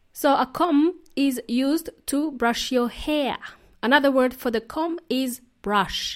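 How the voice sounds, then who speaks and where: In a European accent, a woman speaks at a very slow pace in a cheerful tone and high pitch, on a very clean recording with a silent background. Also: ordinary pitch variation. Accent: non-native European. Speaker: English teacher podcast host. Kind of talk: language lesson podcast monologue. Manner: cheerful, laughs often.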